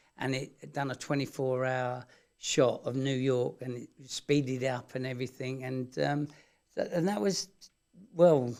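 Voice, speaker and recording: A man talks with a London accent at a moderate pace. His pitch sits fairly high. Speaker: TV builder and electrician. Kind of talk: casual interview. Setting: radio studio.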